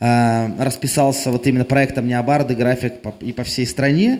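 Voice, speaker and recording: A man talks in an unremarkable speaking voice at medium pitch. His pace is moderate and his intonation fairly even. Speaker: singer-songwriter. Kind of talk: on-stage interview between songs. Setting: club stage.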